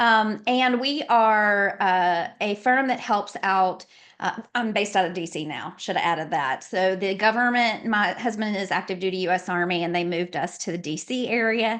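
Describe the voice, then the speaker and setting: Spoken in a Southern accent with ordinary pitch variation, the speech has hardly any pauses. The background is quiet. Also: woman, medium pitch for a woman, moderate pace. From Louisiana, later South Carolina. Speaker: nonprofit consultant and lawyer. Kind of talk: podcast interview.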